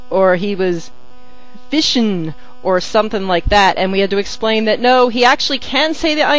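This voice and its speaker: In a Northeastern US accent, a woman with a fairly high pitch speaks at a moderate pace with lively intonation. Music plays in the background, and there is audible room echo. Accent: general Northeast US. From New Jersey. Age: 30s. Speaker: fandom vlogger. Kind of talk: casual monologue answering meme questions.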